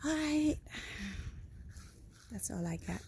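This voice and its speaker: A woman speaks with a Filipino accent. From Philippines. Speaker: home gardener vlogger. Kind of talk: casual garden tour vlog. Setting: outdoors in garden at sunrise. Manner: animated.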